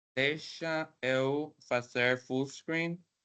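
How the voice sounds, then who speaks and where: A man with a Spanish accent and a bright, sharp tone. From Mexico, Mexicali, Baja California. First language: Spanish (speaking Portuguese). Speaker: professor, guest speaker. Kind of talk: academic presentation. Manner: halting.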